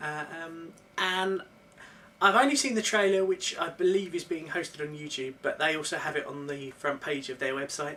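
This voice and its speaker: A woman with a fairly low pitch speaks at a moderate pace, her loudness swinging widely. Noticeable background noise runs underneath. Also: lively intonation. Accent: British. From UK. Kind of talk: casual vlog talk to camera.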